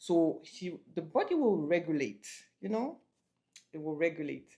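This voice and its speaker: A woman speaks with a French accent and a dark, mellow tone. Vocal fry runs through her voice at a moderate pace. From France. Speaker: couple vlogger. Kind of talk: casual chat.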